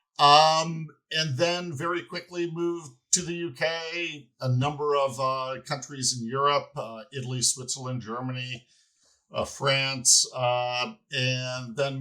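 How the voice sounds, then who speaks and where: On a very clean recording with a silent background, a man with an American accent speaks fairly slowly at a medium pitch, his tone bright and sharp and his pitch varying in an ordinary way. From United States. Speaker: company finance executive. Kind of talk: podcast interview. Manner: halting, many fillers and repeated words.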